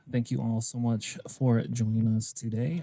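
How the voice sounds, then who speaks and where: A man speaks quietly with a dark, mellow tone. His pace is moderate. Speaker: tournament caster. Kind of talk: live game commentary. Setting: hobby store livestream. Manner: speaking quietly; usually loud, projecting.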